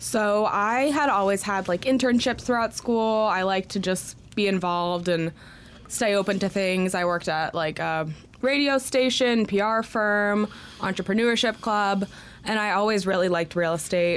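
This is an unremarkable speaking voice at a moderate pace. Loudness is very even, with ordinary pitch variation. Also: woman, medium pitch for a woman. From Connecticut, US. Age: 20s. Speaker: real estate agent. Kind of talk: interview. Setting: studio.

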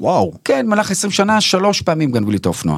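Using very wide pitch swings, a man talks at a fairly quick pace. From Israel, Bnei Brak. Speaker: actor and stand-up comedian. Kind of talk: casual interview.

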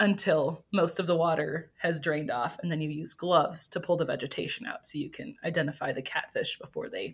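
A somewhat breathy woman with an American accent, fairly low in pitch, at a moderate pace with ordinary pitch variation. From Wisconsin, US Midwest. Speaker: evolutionary biologist. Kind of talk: interview.

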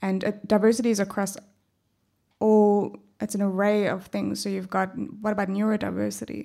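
In a South African accent, a dark, mellow voice talks at a fairly quick pace with flat, monotone intonation and long, frequent pauses. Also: woman, medium pitch for a woman, very clean recording, silent background. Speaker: HR professional. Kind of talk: panel discussion.

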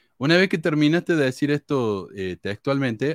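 A man's voice with very wide pitch swings. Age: 40s. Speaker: podcast host. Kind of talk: casual chat.

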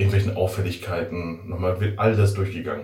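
Amid noticeable background noise and audible room echo, a man speaks with a very deep, low pitch and monotone, flat intonation. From Westphalia, Germany (Werther near Bielefeld). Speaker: resident surgeon. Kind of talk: casual interview chat.

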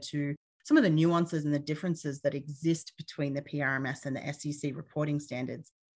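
A woman with an Australian accent speaks fairly quickly in a very deep, low voice with fairly even intonation. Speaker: petroleum reserves engineer and consultant. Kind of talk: interview.

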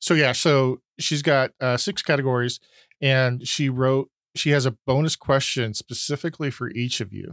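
The recording is very clean, with a silent background. A man with an ordinary speaking voice talks at a moderate pace and medium pitch, with fairly even intonation. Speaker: quiz host reading questions. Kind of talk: trivia quiz, reading questions.

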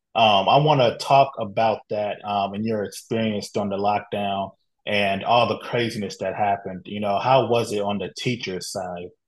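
An unremarkable speaking voice from a man, fairly low in pitch, with fairly even intonation, hardly any pauses and a quiet background. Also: moderate pace. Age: 30s. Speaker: podcast host. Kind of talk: interview.

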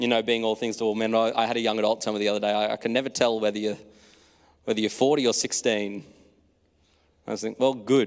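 In a very clean recording with a silent background, a man with an Australian accent speaks very fast at a medium pitch, in a monotone, flat intonation, with long, frequent pauses. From rural Australia (New South Wales). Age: 20s. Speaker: preacher. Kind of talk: sermon.

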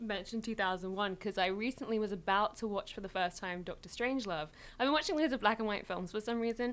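A woman talks at a very fast pace with a British accent. Her pitch is fairly high. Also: ordinary pitch variation. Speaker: YouTuber and writer. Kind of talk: casual chat.

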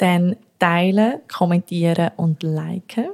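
A woman speaks in a fairly low, somewhat breathy voice with a dry, close sound and no echo. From Zürich, Switzerland. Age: 20s. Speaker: podcast co-host. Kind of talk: casual chat. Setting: home kitchen.

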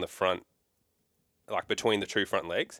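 Man with an Australian accent, dry and close with no echo, on a very clean recording with a silent background. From Melbourne, Australia. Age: 20s. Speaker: hunter and vet. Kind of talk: casual chat. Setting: shed.

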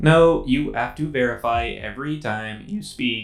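Using a put-on character voice, a man talks at a moderate speed. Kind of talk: spooky improv acting. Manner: ominous, then cheerfully smug.

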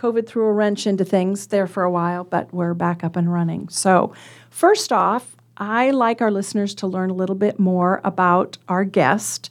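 At a moderate pace, a woman talks in a normal speaking voice, medium in pitch, with fairly even intonation. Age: 60s. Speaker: radio host. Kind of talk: radio interview. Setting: studio.

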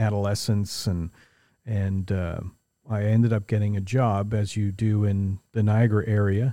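In a very clean recording with a silent background, a man with a Canadian accent speaks fairly slowly, his fairly low voice dark and mellow and his intonation fairly even. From Ontario, Canada (St. Catharines). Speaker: racing coach and automotive event business owner. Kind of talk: casual chat. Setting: in a workshop.

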